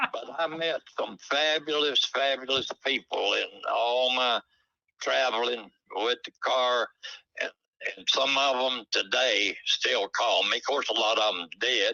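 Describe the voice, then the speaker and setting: A man with a Southern US accent speaks at a fairly slow pace in a dry, close sound with no echo. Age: 90s. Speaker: retired drag racer. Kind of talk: casual interview. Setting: phone call.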